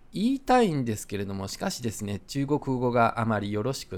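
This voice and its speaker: A man at a medium pitch and a fairly quick pace, on a very clean recording with a silent background. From Japan, Osaka. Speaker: podcast host. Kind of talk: casual monologue. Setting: outdoors, walking in the street.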